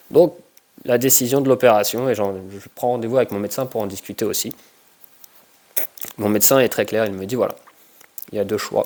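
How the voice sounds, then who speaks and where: Speaking at a medium pitch, a man keeps a fairly quick pace broken by long, frequent pauses. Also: ordinary pitch variation. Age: 30s. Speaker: combat sports and fitness coach. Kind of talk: personal testimony. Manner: halting, many hesitations.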